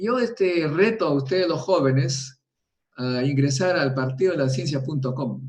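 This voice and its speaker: A man talks at a moderate pace, somewhat breathy and fairly high in pitch. His pitch varies in an ordinary way. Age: 70s. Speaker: nuclear physicist. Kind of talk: interview. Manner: animated.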